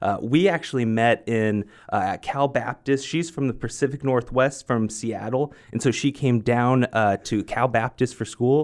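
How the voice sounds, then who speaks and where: A man at a moderate pace with hardly any pauses, medium in pitch with ordinary pitch variation, in a very clean recording with a silent background. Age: 30s. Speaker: pastor. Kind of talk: interview. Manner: halting, frequent repetitions.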